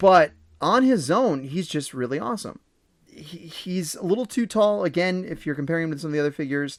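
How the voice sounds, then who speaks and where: Over a silent background in a very clean recording, a man talks fairly quickly in a high voice. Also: big swings in loudness. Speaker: toy reviewer. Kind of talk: product review countdown. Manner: fast; casual, slightly halting.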